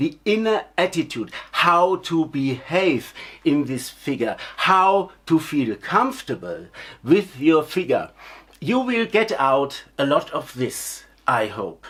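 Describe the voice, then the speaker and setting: The words come very slowly in a non-native accent. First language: not English. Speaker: clown teacher. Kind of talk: lecture. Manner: halting.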